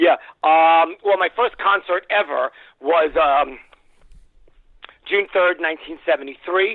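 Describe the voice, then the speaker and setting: Long, frequent pauses break up a man's high-pitched speech, delivered with fairly even intonation in a New York accent. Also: fairly slow pace. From New York City. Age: 60s. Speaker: music industry executive. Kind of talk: interview.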